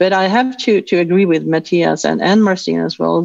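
With a Swedish accent, a woman is heard against a quiet background in a dry sound with no echo. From Sweden. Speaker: information security officer. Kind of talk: panel discussion. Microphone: video call.

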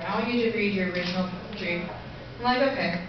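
A woman speaks at a moderate pace and a medium pitch. Strong room echo and noticeable background noise surround her voice. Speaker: spoken word poet. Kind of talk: casual introduction to a live audience. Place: stage. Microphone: camera far.

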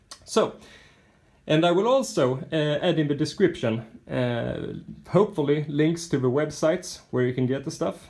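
A man with a Swedish accent, fairly high in pitch, lively in intonation, at a moderate pace. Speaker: RC model truck builder. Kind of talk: casual video walkthrough of a model.

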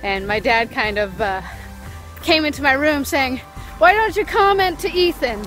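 Faint music plays in the background of this dry, echo-free recording as the speaker talks at a fairly slow pace. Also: woman. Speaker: small vlogger. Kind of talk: casual vlog chat. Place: street. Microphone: phone near.

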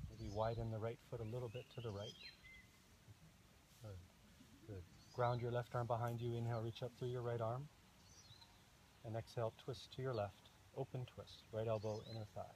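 At a moderate pace, a man speaks in a somewhat breathy, monotone, flat voice with long, frequent pauses, the sound dry with no echo and light background noise. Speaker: yoga instructor. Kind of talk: yoga class instruction cues. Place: garden.

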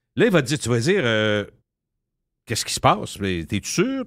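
A man speaks against a quiet background. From Quebec. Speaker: radio personality. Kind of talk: casual chat. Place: studio.

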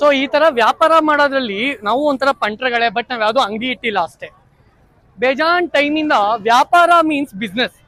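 This man's voice sits at an extremely high pitch with ordinary pitch variation, raised and projected, in a dry, close sound with no echo. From Karnataka, Mandya district (Nagamangala taluk). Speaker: YouTube vlogger. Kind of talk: casual vlog chat with vendors. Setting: outdoors at a village market. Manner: animated.

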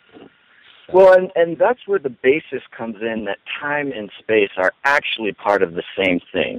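This man's voice swings very widely in pitch and heavily in loudness, in a dry sound with no echo. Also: moderate pace. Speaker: online radio ministry co-founder. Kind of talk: casual interview. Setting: phone call. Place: home room. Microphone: headset.

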